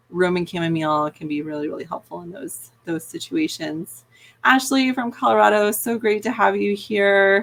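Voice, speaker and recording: Speaking in a plain, everyday voice, a woman uses a medium pitch and lively intonation at a moderate pace on a very clean recording with a silent background. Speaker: veterinarian. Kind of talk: live Q&A stream. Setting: live video from her office. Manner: casual, filler-heavy.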